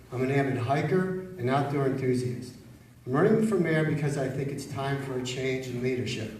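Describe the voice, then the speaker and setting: This man talks at a fairly quick pace with a fairly high pitch, and there is audible room echo and noticeable background noise. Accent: American. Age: 60s. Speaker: mayoral candidate. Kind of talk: campaign opening statement. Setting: public forum with live audience.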